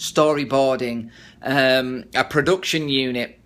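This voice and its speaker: This is a man with a fairly high-pitched voice. He speaks with an English accent. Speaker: actor and filmmaker. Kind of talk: casual video diary to camera. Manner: pausing and stuttering.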